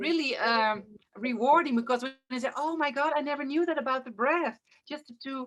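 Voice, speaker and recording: Fairly quick speech from a woman with a Dutch accent, high in pitch, with ordinary pitch variation. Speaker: interview host, breathwork teacher. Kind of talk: interview. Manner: halting.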